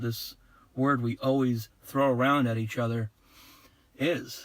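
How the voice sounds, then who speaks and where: Bright and sharp in tone, a man speaks at a medium pitch with ordinary pitch variation. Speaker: video blogger. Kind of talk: casual monologue.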